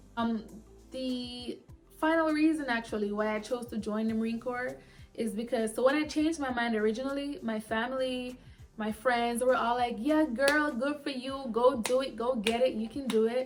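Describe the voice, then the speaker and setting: A loud, animated woman with a high voice at a moderate pace, with music in the background. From immigrant to the US, grew up abroad. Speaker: Marine corporal and vlogger. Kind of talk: casual vlog talk.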